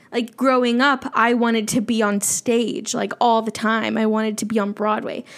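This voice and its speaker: With an animated tone and a fairly high pitch, a woman speaks at a moderate pace with ordinary pitch variation amid noticeable background noise. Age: 20s. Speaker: independent podcaster. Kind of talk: casual solo monologue. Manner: animated, frequent laughter.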